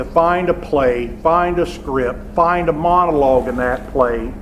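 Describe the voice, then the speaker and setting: In a Southern US accent, a man speaks at a fairly slow pace and a fairly high pitch. Noticeable background noise and audible room echo are present. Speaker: theater professor. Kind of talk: lecture. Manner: loud, projecting.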